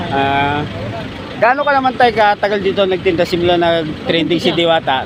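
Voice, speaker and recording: With very even loudness and lively intonation, a high-pitched man speaks at a moderate pace over noticeable background noise. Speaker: vlogger interviewing street vendors. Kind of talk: casual vlog interview talk.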